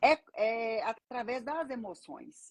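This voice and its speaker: The recording of this woman is dry and close with no echo, and her pitch sits fairly high. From Brazil, Minas Gerais (Belo Horizonte). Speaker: banker and financial mentor. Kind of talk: casual live-stream interview.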